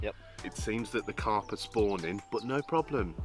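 Clear music plays in the background behind a man. He talks at a moderate pace, and the sound is dry with no echo. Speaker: fishing vlogger. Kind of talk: casual vlog chat. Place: waterside.

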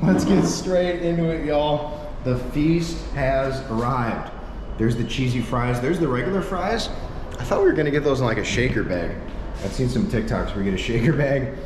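Noticeable background noise runs under this clip. A man speaks fairly quickly over it. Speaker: travel vlogger. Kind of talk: casual vlog chat. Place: shop. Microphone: phone near.

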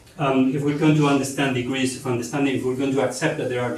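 A man speaks with audible room echo and light background noise. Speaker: presenter. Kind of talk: lecture. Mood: light, joking aside. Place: hall.

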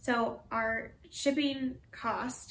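The voice belongs to a woman. Light background noise is present. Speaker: reseller co-host. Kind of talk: casual vlog chat. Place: home room. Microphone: camera far.

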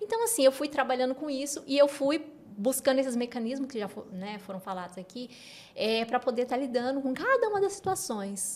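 Her pitch is high, and the pace is fairly quick. This woman uses lively intonation with big swings in loudness. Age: 40s. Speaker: educational neuropsychopedagogue; guest. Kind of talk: interview. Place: studio. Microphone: studio mic.

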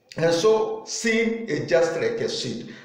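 Audible room echo around a male speaker. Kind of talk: sermon. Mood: earnest, preaching tone. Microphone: phone near.

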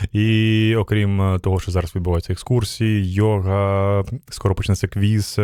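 The dark, mellow voice goes at a fairly slow pace with monotone, flat intonation. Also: man, very even loudness. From Ukraine. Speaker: radio host. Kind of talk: casual interview. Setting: live radio broadcast at a festival.

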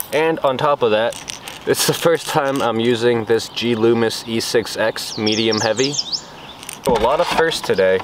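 A man at a fairly slow pace, dry sound with no echo, noticeable background noise. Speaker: fishing vlogger. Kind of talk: casual vlog chat. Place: waterside.

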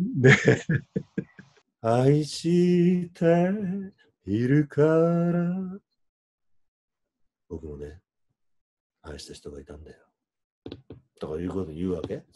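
Speaking at a very slow pace with long, frequent pauses, a man shows big swings in loudness over a quiet background. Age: 50s. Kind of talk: casual couple conversation. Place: home room. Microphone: video call.

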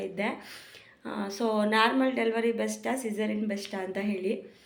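Audible room echo and noticeable background noise accompany a woman's voice. Her pitch is fairly high and her intonation fairly even. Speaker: pregnant vlogger. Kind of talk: casual vlog. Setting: outdoors on the road.

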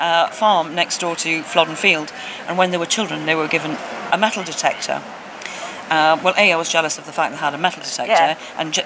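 Over noticeable background noise, a woman talks at a very fast pace in a fairly low pitch with fairly even intonation. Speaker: guest. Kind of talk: interview answer. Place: hall.

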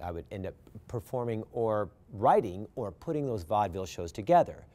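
A man's dark, mellow voice at a very fast pace. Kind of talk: interview answer. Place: stage. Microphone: lapel.

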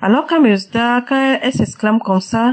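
A woman talks at a fairly quick pace with a fairly high pitch and ordinary pitch variation.

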